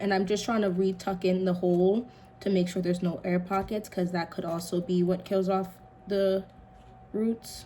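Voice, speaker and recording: A woman speaks quietly at medium pitch. Her pace is moderate. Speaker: home gardening vlogger. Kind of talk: casual tutorial while working. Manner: quiet, focused.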